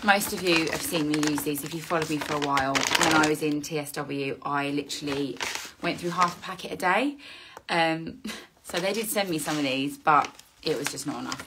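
Noticeable background noise runs under a woman's very deep, low voice. She speaks at a fairly quick pace with ordinary pitch variation. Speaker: skincare content creator. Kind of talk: casual vlog chat. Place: home room. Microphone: phone near.

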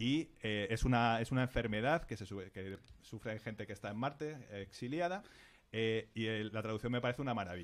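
Talking at a fairly quick pace, the man shows ordinary pitch variation. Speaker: science section contributor; podcast guest or host. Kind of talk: casual chat. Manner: halting. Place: studio. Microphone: studio mic.

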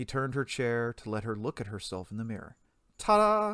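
The voice reads in a natural way. It is a natural reading voice.

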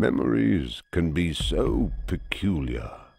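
In a put-on character voice with a very deep, low pitch, a man speaks fairly slowly. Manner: reminiscing, dwelling on morbid memories.

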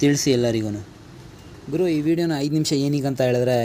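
Over noticeable background noise, a man with a non-native accent speaks at a fairly high pitch. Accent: non-native Kannada. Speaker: travel vlogger. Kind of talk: travel vlog. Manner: halting.

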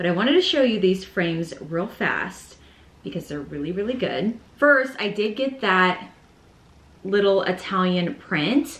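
Audible room echo follows a woman who talks at a fairly slow pace. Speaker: home decor vlogger. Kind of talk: casual vlog chat. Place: home room.

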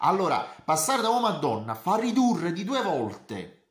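A man at a moderate pace, with audible room echo and a quiet background. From Italy. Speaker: university tutor. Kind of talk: lecture. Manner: halting. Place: home room. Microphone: webcam.

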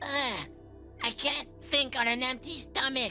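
A female-sounding voice does a put-on character at a high pitch and a fairly slow pace. Clear music plays in the background.

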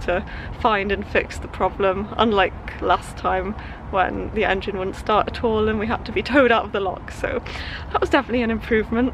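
A woman speaks at a fairly quick pace. Background noise is noticeable, and the sound is dry with no echo. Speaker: sailing vlogger. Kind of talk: casual vlog chat. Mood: cheerful, relieved. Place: boat. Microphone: phone near.

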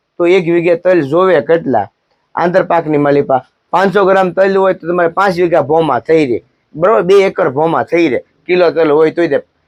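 A man talks at a high pitch with ordinary pitch variation and very even loudness. The sound is dry and close with no echo. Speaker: agriculture advisor YouTuber. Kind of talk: farming advice vlog. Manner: quieter than usual.

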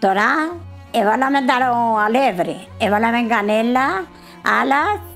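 With a Cypriot accent, a woman speaks at a fairly high pitch and a fairly slow pace as faint music plays in the background. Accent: Cypriot Greek. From Cyprus. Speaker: grandmother home cook. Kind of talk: casual talk while cooking. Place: home room.

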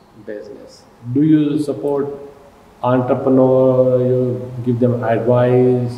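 With a Pakistani accent, a man talks at a very slow pace in a monotone, flat way, with audible room echo. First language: Urdu. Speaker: TV host. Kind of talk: interview. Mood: warm, complimentary. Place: studio.

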